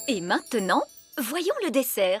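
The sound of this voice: A woman's cartoonish character voice, fairly high and fairly bright, with a slightly husky edge, big pitch swings, a fairly slow pace, and faint music in the background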